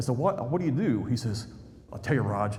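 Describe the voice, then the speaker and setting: With an American accent, a man at a medium pitch talks at a very fast pace amid audible room echo. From central Indiana, suburb of Indianapolis. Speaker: history YouTuber. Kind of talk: public talk. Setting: stage with audience. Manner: animated storytelling.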